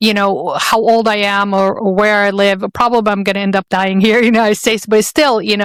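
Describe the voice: A woman with an Arabic accent speaks at a fairly quick pace and a medium pitch, her tone clear, smooth and fairly bright. Her intonation is fairly even, and the sound is dry and close with no echo.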